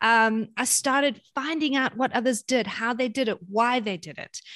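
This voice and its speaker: A woman with a South African accent talks at a moderate pace in a high voice. The sound is dry and close with no echo, and the background is quiet. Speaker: parenting author and speaker. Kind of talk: casual interview chat.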